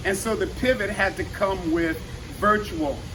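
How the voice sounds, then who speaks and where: With an animated tone, a man speaks at a moderate pace and a high pitch. His pitch varies in an ordinary way, and there's noticeable background noise. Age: 60s. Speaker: fitness trainer and active aging speaker. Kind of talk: motivational talk. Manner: halting.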